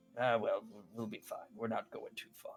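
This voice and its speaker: A man talks in a put-on character voice that sounds raspy, at a moderate pace. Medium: actual play.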